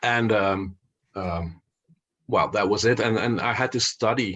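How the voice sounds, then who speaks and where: In a Flemish accent, a man speaks at a fairly slow pace and fairly low pitch, with fairly even intonation. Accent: Belgian Dutch (Flemish) accent in English. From Belgium (Flanders, Dutch-speaking). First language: Dutch. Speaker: investor and finance author. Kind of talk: podcast interview. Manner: halting, many fillers and repetitions.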